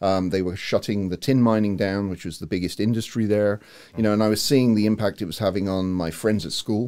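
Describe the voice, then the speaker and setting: The voice has a dark, mellow tone, moving at a fairly quick pace with fairly even intonation. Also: man, fairly low pitch for a man. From England, Cornwall. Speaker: university provost and marine biologist. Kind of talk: podcast interview. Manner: hesitant with many fillers.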